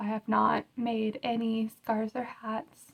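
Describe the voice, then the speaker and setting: A somewhat breathy woman's voice, fairly high in pitch, at a very slow pace, with a dry, close sound and no echo. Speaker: crochet podcaster. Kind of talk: casual podcast chat. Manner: slightly unusual speech.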